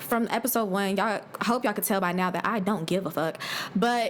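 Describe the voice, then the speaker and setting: Despite noticeable background noise, a woman can be heard speaking fairly quickly. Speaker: podcast host. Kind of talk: casual rant and storytelling. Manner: fast; animated.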